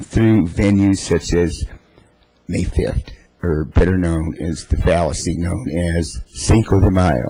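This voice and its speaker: A man's very deep, low voice with a dark, mellow tone, ordinary pitch variation, and a moderate pace. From US, Mexican-American. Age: 60s. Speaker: political activist, public commenter. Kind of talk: public comment at council meeting. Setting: city council chamber. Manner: impassioned.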